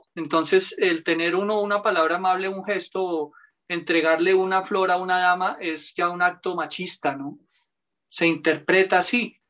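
A man speaks at a moderate pace with a high pitch. His tone is bright and sharp, in a monotone, flat intonation. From Colombia, Bogotá. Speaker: lawyer. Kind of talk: casual interview.

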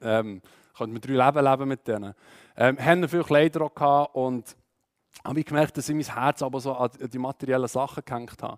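A man with a Swiss accent talks at a fairly quick pace with fairly even intonation. His speech has long, frequent pauses. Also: medium pitch for a man. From Switzerland, Aargau. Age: 20s. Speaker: church youth speaker. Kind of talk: testimony talk. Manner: halting, many fillers.

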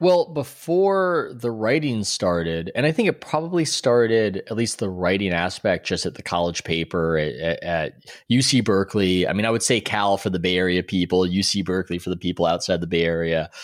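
In a plain, everyday voice with an American accent, the speaker talks at a fairly quick pace with lively intonation on a very clean recording with a silent background. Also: man, fairly low pitch for a man, hardly any pauses. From US West Coast, San Diego. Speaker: sports writer and author. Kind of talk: interview.

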